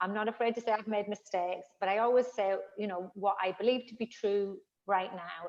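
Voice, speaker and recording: A woman speaks with a northern English accent at a fairly high pitch. Her intonation is fairly even and her pace fairly quick. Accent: northern English accent, noticeable. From northern England. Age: 50s. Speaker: fitness trainer. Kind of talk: interview conversation.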